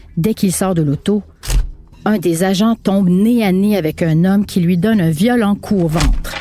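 Her medium pitch and fairly even intonation carry a Quebec accent as this woman speaks at a moderate pace. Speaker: narrator and podcast host. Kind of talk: scripted narration.

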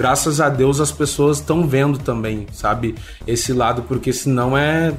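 With music in the background, the speech keeps a moderate pace and ordinary pitch variation. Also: man. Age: 20s. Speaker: reality show ex-contestant. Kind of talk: interview. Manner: casual, hesitant with fillers.

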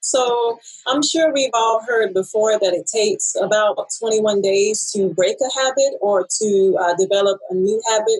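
With an ordinary speaking voice, a woman talks at a fairly slow pace and fairly high pitch, with very even loudness and ordinary pitch variation. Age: 30s. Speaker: author. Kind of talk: casual chat.

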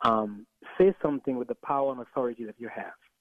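Here a man speaks with a Caribbean accent. His delivery is very fast. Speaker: pastor. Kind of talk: radio interview.

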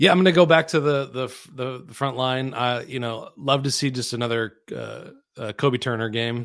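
A man's medium-pitched voice at a moderate pace, with ordinary pitch variation and a quiet background. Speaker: sports radio co-host. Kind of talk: sports talk show. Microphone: new microphone.

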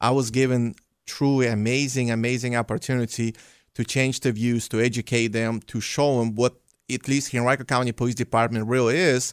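A man's medium-pitched voice with monotone, flat intonation, dry and close with no echo, in a very clean recording with a silent background. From Belarus. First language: Russian or Belarusian. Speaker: police officer. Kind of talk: radio interview.

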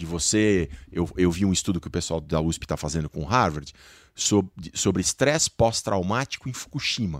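A man talks in an ordinary speaking voice with lively intonation at a moderate pace. The sound is dry and close, with no echo. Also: very clean recording, silent background. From Brazil. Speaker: science journalist. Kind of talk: panel discussion.

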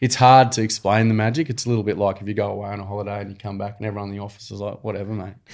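A man's very fast, fairly low-pitched speech in an Australian accent, with fairly even intonation and hardly any pauses, on a very clean recording with a silent background. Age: 40s. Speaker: nonprofit founder. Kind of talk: casual chat.

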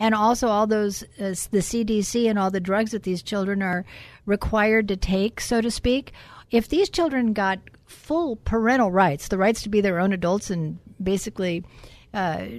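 A woman with a normal speaking voice at medium pitch, moderate pace and ordinary pitch variation, against a quiet background. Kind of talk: radio talk show discussion. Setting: studio.

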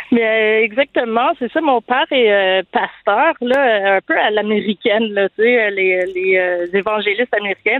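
Speaking at a fairly slow pace with hardly any pauses, a woman keeps her loudness very even, her fairly high pitch showing ordinary variation. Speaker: conversion therapy survivor. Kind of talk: testimony. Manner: halting.

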